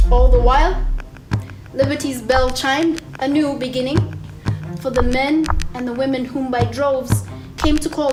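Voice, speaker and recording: There is music in the background. A woman talks over it. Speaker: spoken word poet. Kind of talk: spoken word poetry performance.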